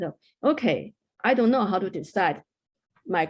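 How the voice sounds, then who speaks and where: Over a quiet background, a woman speaks with a Chinese accent and lively intonation. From China. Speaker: mountaineer. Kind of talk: interview.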